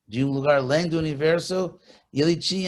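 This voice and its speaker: A man with an English accent speaks at a moderate pace and a fairly high pitch, keeping his intonation fairly even. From California, USA. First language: English (speaking Portuguese). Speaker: spiritual teacher. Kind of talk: interview.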